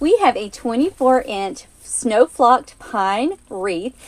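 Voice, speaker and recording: In an Alabama accent, a woman speaks in an upbeat tone, her high voice making very wide pitch swings. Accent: Southern US (Alabama). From US South (Alabama). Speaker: craft tutorial host. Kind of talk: live-stream craft tutorial. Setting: live stream. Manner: upbeat, friendly.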